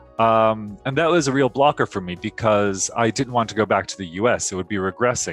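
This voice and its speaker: Over music in the background, a man with a General American accent talks at a fairly quick pace with hardly any pauses. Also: medium pitch for a man, ordinary pitch variation, dry, close sound with no echo. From United States, Los Angeles. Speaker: MBA graduate. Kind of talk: interview answer.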